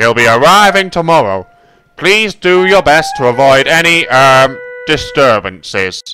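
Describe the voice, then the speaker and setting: A man puts on a booming character voice with a fairly high pitch. His pitch swings very widely at a moderate pace. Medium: read story. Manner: authoritative.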